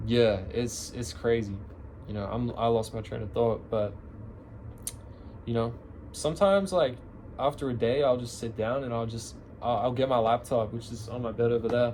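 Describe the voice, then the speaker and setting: A man's somewhat breathy voice at a medium pitch and moderate pace, with ordinary pitch variation, long, frequent pauses and audible room echo. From Australia, Canberra. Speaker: musician vlogger. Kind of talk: casual chat. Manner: casual, filler-heavy rambling.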